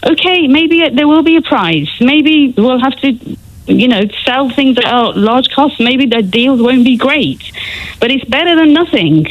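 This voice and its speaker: A woman with a British accent speaks at a fairly slow pace in a high voice with lively intonation and very even loudness, amid noticeable background noise. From England. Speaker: caller. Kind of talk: heated debate.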